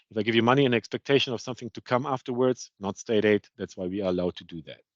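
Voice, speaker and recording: Speaking very fast at a medium pitch, a man shows ordinary pitch variation and big swings in loudness, in a dry, close sound with no echo. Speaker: procurement consultant presenting. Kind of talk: webinar presentation.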